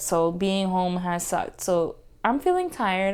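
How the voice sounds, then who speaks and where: This woman speaks with a Haitian accent. Her pace is moderate. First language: Haitian Creole. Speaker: podcast co-host. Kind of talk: casual chat.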